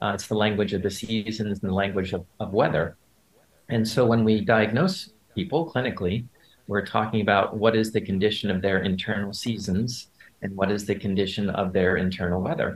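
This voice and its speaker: A man speaks in a normal speaking voice, fairly low in pitch. His intonation is fairly even and his pace fairly quick. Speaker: acupuncturist. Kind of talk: panel discussion. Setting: video call.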